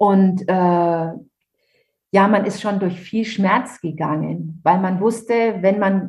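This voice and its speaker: Very slowly, a woman with a medium-pitched, somewhat breathy voice speaks with ordinary pitch variation. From Franconia, Germany (Nuremberg). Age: 50s. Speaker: author. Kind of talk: interview testimony.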